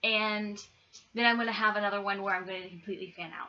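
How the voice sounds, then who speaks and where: A woman talks in a soft-spoken way, with an American accent. Noticeable background noise sits behind her. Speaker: YouTuber, movie reviewer. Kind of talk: casual vlog review. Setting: at home, roommate asleep. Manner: soft-spoken, keeping voice down; hesitant, many ums.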